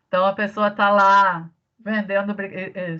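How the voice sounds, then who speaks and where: In a southern Brazilian accent, a woman speaks at a fairly slow pace. Her intonation is monotone and flat. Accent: gaúcho (southern Brazilian). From Rio Grande do Sul, southern Brazil. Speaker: teacher. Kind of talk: online lecture. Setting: remote class.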